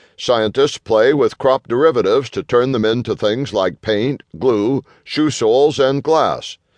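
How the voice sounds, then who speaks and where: This is an ordinary speaking voice at a fairly slow pace. The sound is dry and close, with no echo. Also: man. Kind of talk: audiobook narration of a business magazine article. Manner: formal, even-paced, steady.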